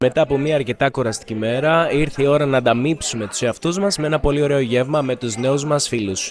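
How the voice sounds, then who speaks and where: A man talks fairly quickly and with hardly any pauses while noticeable background noise carries on. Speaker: language teacher vlogger. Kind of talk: casual vlog talk.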